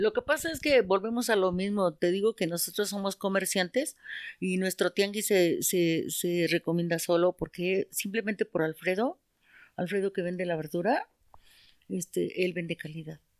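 On a very clean recording with a silent background and a dry, close sound with no echo, a woman with a normal speaking voice talks at a moderate pace, medium in pitch with ordinary pitch variation. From Mexico City, Iztapalapa. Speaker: market vendor. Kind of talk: casual chat.

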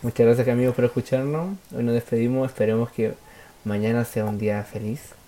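With a Chilean accent, the speaker talks at a fairly quick pace over noticeable background noise. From Chile, Santiago. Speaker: football podcast host. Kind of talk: casual chat.

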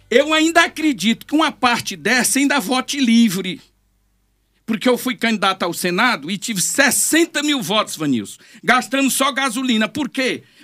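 A man's extremely high-pitched, raised and projected voice, bright and sharp in tone, animated, with lively intonation. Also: moderate pace, very clean recording, silent background. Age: 60s. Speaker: politician. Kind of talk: interview. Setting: studio.

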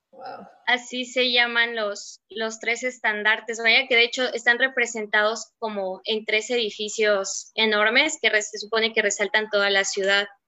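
A woman's fairly high voice at a fairly slow pace, monotone and flat, with hardly any pauses. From Mexico, Mérida (Yucatán). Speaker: book discussion panelist. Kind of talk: casual book discussion.

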